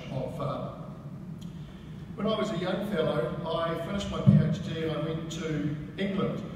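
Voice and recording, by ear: Against clear background noise, a man speaks at a fairly high pitch with ordinary pitch variation.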